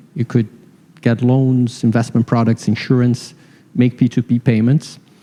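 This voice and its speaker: With a Brazilian accent, a man of medium pitch speaks at a moderate pace in a dark, mellow tone, the sound dry and close with no echo. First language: Portuguese. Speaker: fintech founder. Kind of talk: panel discussion.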